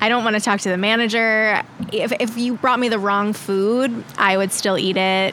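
Monotone, flat delivery at a moderate pace over noticeable background noise. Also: woman. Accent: American. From Long Island, New York. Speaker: podcast guest. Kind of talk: casual chat.

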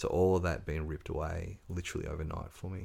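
Speaking at a moderate pace with an Australian accent, a man has a very deep, low pitch. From Tasmania, Australia (Ridgley, North West Coast). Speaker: author and drug and alcohol counsellor. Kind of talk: casual interview chat.

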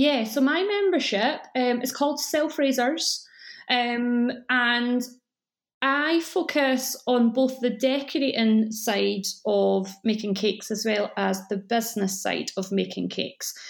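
With a Scottish accent, a woman speaks very slowly at a high pitch with ordinary pitch variation. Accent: mellow Scottish. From Scotland. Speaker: cake school owner. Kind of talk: podcast interview.

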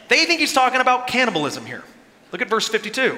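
A man speaks in a raised, projected voice over noticeable background noise. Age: 30s. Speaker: pastor. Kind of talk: sermon.

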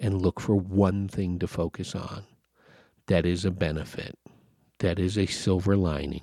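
A man speaks slowly, fairly so, in a very deep, low voice. The recording is very clean and silent behind him, with a dry, close sound and no echo. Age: 50s. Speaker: podcast host. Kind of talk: solo podcast monologue, casual rant. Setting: home recording, solo at mic. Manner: earnest, exasperated, urging listeners to unplug and focus on the positive.

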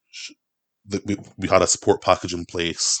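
Delivered at a moderate pace in a monotone, flat way, the voice has a Scottish accent and a dry, close sound with no echo. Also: man. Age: 20s. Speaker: political activist and carer. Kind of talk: casual chat.

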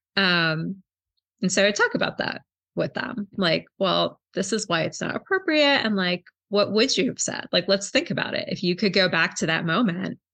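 With vocal fry and a bright, sharp tone, a woman speaks at medium pitch and a moderate pace with lively intonation. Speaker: librarian and book club founder. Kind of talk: casual interview chat.

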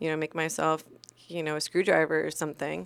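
A woman with a very deep, low pitch is heard in a very clean recording, dry and close with no echo and a silent background. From moved around as military child; California, Iceland, then Virginia. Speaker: former police officer, crash survivor. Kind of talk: interview, personal story.

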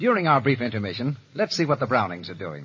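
A man talks fast at a medium pitch, his tone fairly bright with a husky, rough edge. His pitch makes big swings.

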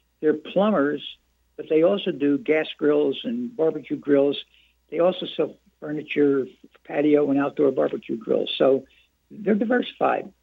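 With an ordinary speaking voice, a man talks at a moderate pace in a fairly high pitch, using lively intonation. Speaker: chamber of commerce head. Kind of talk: casual chat. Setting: phone call.

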